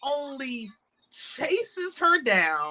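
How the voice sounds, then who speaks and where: Her high voice raised and projected, a woman speaks very slowly with very wide pitch swings. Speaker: podcast co-host. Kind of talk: casual chat. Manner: stuttering, halting.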